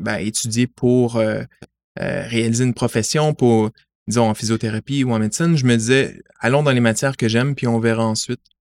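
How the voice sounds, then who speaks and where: A man's medium-pitched voice, a plain, everyday voice, with fairly even intonation and a dry, close sound with no echo. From Montreal, Quebec (LaSalle). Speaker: science media relations adviser. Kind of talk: interview. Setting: in person.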